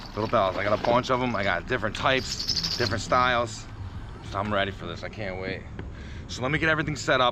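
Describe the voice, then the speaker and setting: Against noticeable background noise, a man speaks at a very fast pace at a medium pitch with ordinary pitch variation. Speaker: fishing vlogger. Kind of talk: casual outdoor vlog narration. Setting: outdoors by the water.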